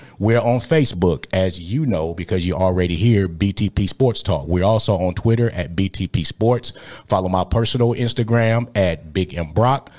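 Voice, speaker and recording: Speaking at a moderate pace with hardly any pauses, a man with a very deep, low pitch and an American accent sounds animated. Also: ordinary pitch variation. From Michigan. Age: 40s. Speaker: sports podcast host. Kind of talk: casual sports talk.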